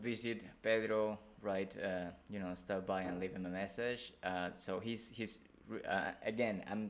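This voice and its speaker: Intonation stays fairly even in this voice with a non-native accent. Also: man. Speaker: podcast host. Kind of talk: interview.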